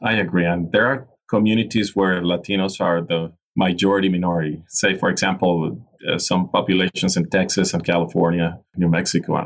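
A man with a Venezuelan accent speaks at a fairly quick pace in a very deep, low pitch. His intonation stays fairly even and his loudness very even. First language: Spanish. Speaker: innovation and leadership specialist. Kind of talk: interview.

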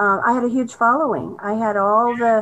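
A woman with an American accent and an unremarkable speaking voice talks at a fairly slow pace with fairly even intonation. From Southern California. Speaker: arts philanthropist. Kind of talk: interview.

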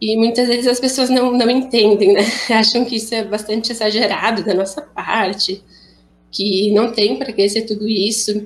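At a moderate pace, a woman with a fairly high pitch and fairly even intonation speaks in an ordinary speaking voice. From Rio Grande do Sul, Brazil. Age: 20s. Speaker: young woman with cystic fibrosis. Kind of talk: personal testimony.

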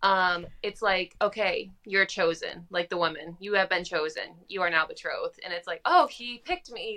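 Speaking at a moderate pace with hardly any pauses, a woman with an American accent has a medium pitch, ordinary pitch variation, a bright, sharp tone and big swings in loudness. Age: 20s. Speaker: podcast co-host, food blogger.

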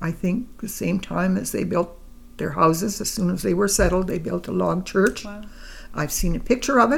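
A woman speaks at medium pitch with ordinary pitch variation. Vocal fry runs through her voice. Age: 80s. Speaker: grandmother being interviewed. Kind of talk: elder life story, reminiscing in a relaxed family interview. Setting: home interview with a microphone. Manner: slow, halting, reflective, with pauses and fillers; warm, gentle, matter-of-fact storytelling.

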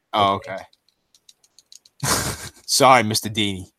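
Putting on a character voice, a man speaks in a raspy, fairly low pitch at a moderate pace. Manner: submissive, deferential.

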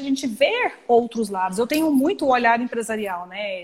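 The speaker is a woman. Her pitch is high. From Goiânia, Brazil. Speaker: tax lawyer. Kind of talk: live-stream legal discussion. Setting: Instagram live video stream.

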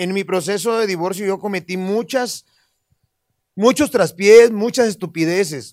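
A man's high-pitched voice comes through at a fairly slow pace. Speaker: comedian. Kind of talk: casual chat.

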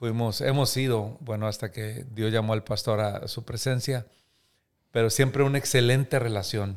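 A man with an unremarkable speaking voice talks at a medium pitch and a moderate pace. His intonation is fairly even, on a very clean recording with a silent background. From Mexico, Coahuila (Múzquiz). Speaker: pastor and author. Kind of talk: interview testimony.

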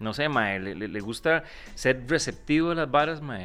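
A man in a Costa Rican accent with lively intonation, music playing in the background. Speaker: comedy podcast host. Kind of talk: casual chat.

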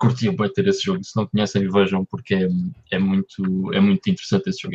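This man talks at a fairly quick pace. The sound is dry and close, with no echo. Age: 30s. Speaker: podcast co-host. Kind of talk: casual chat. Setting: live-streamed podcast recording.

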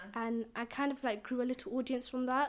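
A woman talks very fast in a London accent at a high pitch. Her intonation is monotone and flat. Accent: London English, multicultural London. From East London. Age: young. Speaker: poet and author. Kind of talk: interview.

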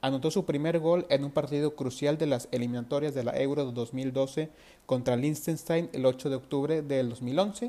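This man has a dark, mellow tone and a fairly high pitch, speaking at a fairly quick pace with ordinary pitch variation. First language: Spanish. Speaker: football podcast host. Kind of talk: interview. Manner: halting.

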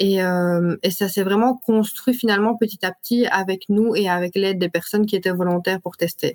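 With an ordinary speaking voice, a woman talks at a medium pitch and a moderate pace in fairly even intonation. The sound is dry and close, with no echo. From Belgium, Liège area. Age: 20s. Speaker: entrepreneur. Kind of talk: interview.

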